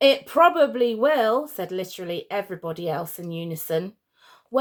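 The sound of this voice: The intonation is lively in an unforced reading voice. Behind it, the background stays quiet.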